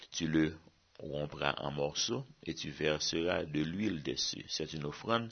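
A man's very deep, low voice at a very slow pace. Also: ordinary pitch variation. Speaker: Bible teacher. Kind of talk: sermon.

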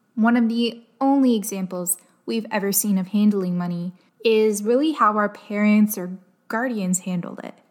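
With a Canadian accent and a normal speaking voice, a woman talks at a moderate pace with a fairly high pitch and ordinary pitch variation on a very clean recording with a silent background. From Canada, Windsor, Ontario. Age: 20s. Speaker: podcast host. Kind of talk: solo personal storytelling podcast.

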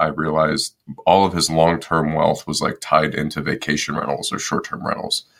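A man with a Midwestern American accent, at a fairly quick pace. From US Midwest, Detroit, Michigan. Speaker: real estate investor and Marine Corps veteran. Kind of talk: interview conversation.

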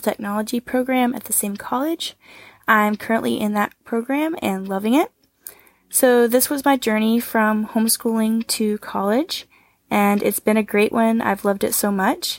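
A plain, everyday voice from a woman with an American accent, fairly high in pitch, moderate in pace, with fairly even intonation, dry and close with no echo, on a very clean recording with a silent background. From Northwest Arkansas, US. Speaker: surgical technology student, former homeschooler. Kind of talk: recorded testimony.

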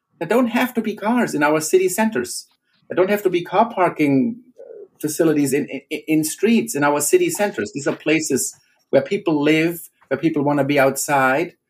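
Speaking at a moderate pace with a German accent, a man uses lively intonation in a fairly high register. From Germany. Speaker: professor. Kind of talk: interview.

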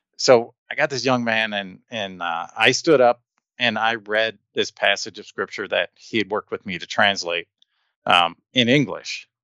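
The tone is bright and sharp, with an American accent. The sound is dry and close, with no echo. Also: man, medium pitch for a man, ordinary pitch variation, moderate pace, quiet background. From US Midwest, Detroit, Michigan. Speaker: linguist and education association director. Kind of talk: casual interview.

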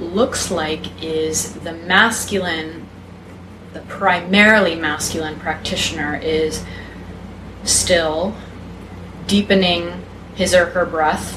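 Speaking at a fairly slow pace with fairly even intonation, a woman is heard over noticeable background noise and audible room echo. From Texas. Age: 20s. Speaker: feminine embodiment and polarity teacher. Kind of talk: casual interview chat.

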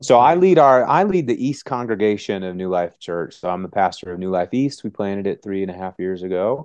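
With an American accent and an unremarkable speaking voice, a man talks at a fairly quick pace with hardly any pauses, using a fairly low pitch and ordinary pitch variation, in a dry, close sound with no echo against a quiet background. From US Midwest, Wisconsin. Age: 40s. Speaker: pastor and author. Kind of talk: interview conversation.

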